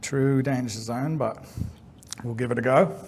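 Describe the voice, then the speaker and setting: In an Australian accent, a man speaks at medium pitch and a moderate pace, somewhat breathy, with audible room echo. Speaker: game developer. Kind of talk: conference talk.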